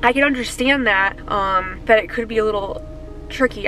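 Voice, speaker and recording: Fairly high female speech with music playing in the background. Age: 20s. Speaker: real estate agent. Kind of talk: vlog. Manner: casual.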